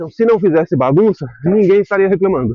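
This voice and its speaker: A man's high-pitched voice with lively intonation. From Brazil, raised partly in Spain. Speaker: vlogger. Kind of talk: casual vlog monologue. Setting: outdoors, cycling. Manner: halting, with repetitions; animated.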